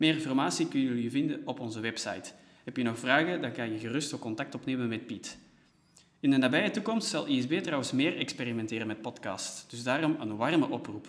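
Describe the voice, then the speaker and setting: With a plain, everyday voice, a man talks at medium pitch and a fairly quick pace, with ordinary pitch variation. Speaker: podcast host, organisation staff. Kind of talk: scripted podcast intro and interview. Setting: meeting room used as studio in an empty office.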